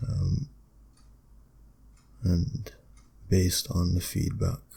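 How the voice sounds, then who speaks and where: A man speaks quietly and very slowly at a very deep, low pitch. His voice is somewhat breathy, with a dark, mellow tone. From Britain. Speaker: ASMR creator. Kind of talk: ASMR talk, philosophical musing.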